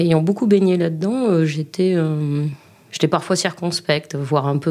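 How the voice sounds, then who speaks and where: A woman speaks with a dark, mellow tone. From Libourne, Gironde, southwest France. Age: 40s. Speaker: regional councillor and former lecturer. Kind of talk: interview testimony. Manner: halting, with repeated words.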